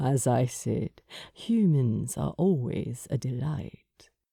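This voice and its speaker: Rumbling at a low-to-middle pitch, this put-on character voice moves at a very slow pace. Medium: read story. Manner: suave, amused, courteous.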